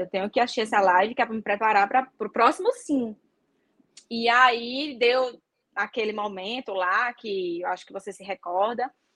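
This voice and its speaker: The sound is dry and close, with no echo. A woman speaks at a moderate pace with ordinary pitch variation. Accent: Natal. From Brazil, Natal (Northeast). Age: 30s. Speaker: flight attendant. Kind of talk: interview guest, casual chat. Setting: live stream video call.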